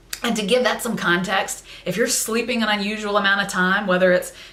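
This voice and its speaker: Fairly quick speech with fairly even intonation comes through audible room echo and noticeable background noise. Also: woman. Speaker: vlogger sharing personal mental health story. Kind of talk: personal testimony to camera. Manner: loud.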